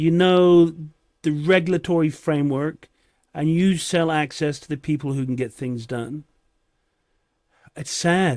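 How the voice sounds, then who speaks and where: In a very clean recording with a silent background, a man with a fairly high pitch speaks at a fairly slow pace, leaving long, frequent pauses and letting his loudness swing widely. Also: ordinary pitch variation. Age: 60s. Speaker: political commentator. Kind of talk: reaction commentary. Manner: sarcastic.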